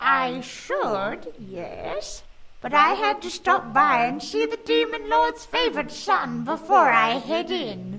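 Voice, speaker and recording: A female-sounding voice performs a put-on character voice at high pitch. The pace is fairly slow. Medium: read story. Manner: sly, knowing.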